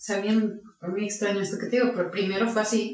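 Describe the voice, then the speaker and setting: A woman at medium pitch talks at a very fast pace. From Mexico, Aguascalientes. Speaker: lawyer and agency founder. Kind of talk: interview.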